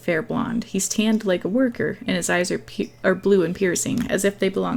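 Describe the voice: Simply plain reading aloud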